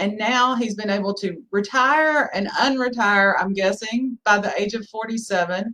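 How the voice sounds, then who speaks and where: With a Southern US accent, a woman speaks at a fairly high pitch and moderate pace, with ordinary pitch variation. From US South. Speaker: podcast host, lawyer. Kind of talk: interview podcast.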